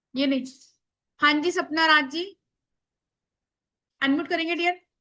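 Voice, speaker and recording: Loud and high-pitched, a woman speaks with fairly even intonation. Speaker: spiritual workshop teacher. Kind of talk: online workshop class.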